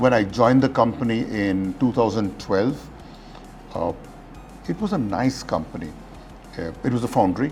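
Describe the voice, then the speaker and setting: With music in the background, a man speaks at a moderate pace with ordinary pitch variation and long, frequent pauses. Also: medium pitch for a man. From Glasgow, UK. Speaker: retired corporate CEO. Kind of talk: talk at an industry forum.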